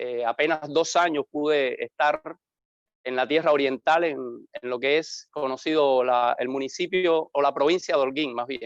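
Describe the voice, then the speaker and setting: With a Havana accent, a man speaks at a moderate pace in a fairly high voice with fairly even intonation. The sound is dry and close with no echo, and the background is quiet. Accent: Havana Cuban, little eastern Cuban trace. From Cuba, Havana. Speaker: pastor. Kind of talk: interview.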